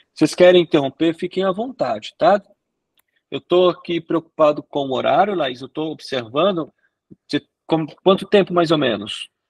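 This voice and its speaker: A man talks at a moderate pace in a high voice with lively intonation, the sound dry and close with no echo. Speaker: sexologist lecturer. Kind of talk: lecture.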